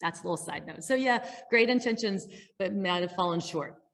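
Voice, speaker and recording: A woman speaks with ordinary pitch variation in a very clean recording over a silent background. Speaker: public health supply chain specialist. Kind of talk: conference presentation. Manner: fast.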